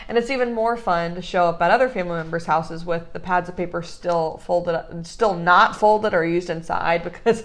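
In a plain, everyday voice, a woman talks at a fairly quick pace and medium pitch with ordinary pitch variation. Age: 20s. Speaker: podcast host, small business owner. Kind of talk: casual chat.

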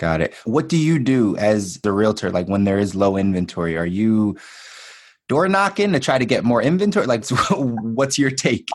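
With an American accent and a normal speaking voice, a man at medium pitch speaks at a moderate pace with lively intonation and very even loudness against a quiet background. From Philadelphia. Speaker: podcast host. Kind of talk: podcast interview.

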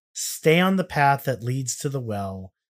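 A man talks with an American accent at a fairly slow pace. His fairly high voice has lively intonation. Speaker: podcast host. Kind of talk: casual chat, comedic banter. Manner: joking, rambling.

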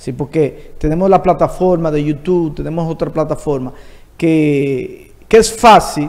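This man has an unremarkable speaking voice, fairly high in pitch, moving at a fairly slow pace with ordinary pitch variation. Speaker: entertainment show host. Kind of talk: interview.

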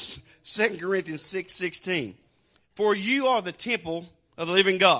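A man with a Southern US accent speaks at a moderate pace in a high, bright, sharp voice. His tone is animated, and the background is quiet. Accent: Southern American. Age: 60s. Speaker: preacher. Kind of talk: sermon.

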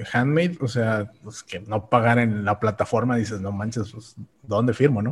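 A man's somewhat breathy voice at a medium pitch, with ordinary pitch variation. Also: moderate pace. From Mexico, Tamaulipas. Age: 30s. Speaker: online seller. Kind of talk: casual interview.

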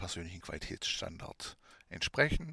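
A man with a strong Swabian accent in a very clean recording with a silent background. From Swabia, southwest Germany. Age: 30s. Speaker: podcast host and adult shop owner. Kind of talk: educational monologue.

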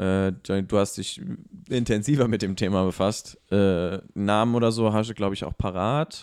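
The man's intonation stays fairly even on a very clean recording with a silent background. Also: moderate pace. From abroad, immigrant to Germany. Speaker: podcast co-host. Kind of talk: casual discussion. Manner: hesitant, many fillers.

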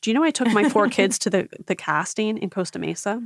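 Recorded dry and close with no echo, a woman with an American accent talks at a medium pitch with vocal fry and lively intonation. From Philadelphia. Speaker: reality TV podcast host. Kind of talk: casual chat.

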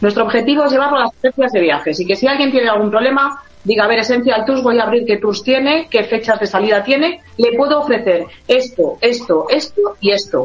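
A woman with a Spanish accent talks at a fairly quick pace in a fairly high pitch, her intonation lively and her loudness very even, over noticeable background noise. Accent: Spanish (Spain). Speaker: tour operator. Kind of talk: radio interview.

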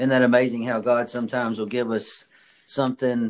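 In an ordinary speaking voice, a man delivers his words at a fairly quick pace. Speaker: podcast host. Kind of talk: interview, upbeat motivational chat.

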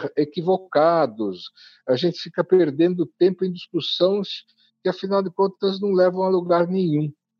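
With a high pitch and fairly even intonation, a man talks at a fairly slow pace. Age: 80s+. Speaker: urban transport policy expert, former city official. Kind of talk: interview. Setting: remote recording.

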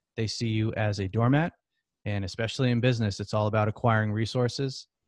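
An ordinary speaking voice moves at a fairly quick pace with fairly even intonation, in a dry, close sound with no echo against a quiet background. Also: man. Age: 30s. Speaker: entrepreneur and former robotics engineer. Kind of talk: casual interview.

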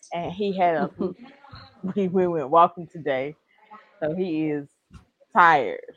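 Over music in the background, the speaker talks at a fairly slow pace with fairly even intonation and long, frequent pauses. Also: woman, fairly low pitch for a woman. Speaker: podcast co-host. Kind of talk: casual chat.

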